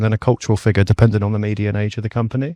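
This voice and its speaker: In a very clean recording with a silent background and a dry, close sound with no echo, a man with a British accent and a fairly low voice speaks at a very fast pace with monotone, flat intonation. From UK (childhood in Middle East). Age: 20s. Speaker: startup co-founder. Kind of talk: podcast interview. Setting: mobile podcast studio.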